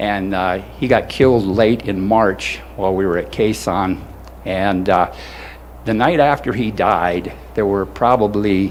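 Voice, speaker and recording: This man's voice sits fairly low and moves with lively intonation at a fairly slow pace. Noticeable background noise runs under it. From South Dakota. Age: 70s. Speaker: war veteran. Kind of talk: ceremony speech. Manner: halting.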